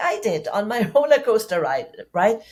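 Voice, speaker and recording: A woman talks with a German accent at a fairly slow pace. Her pitch is fairly high. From Germany. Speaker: public speaking coach. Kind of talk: podcast interview.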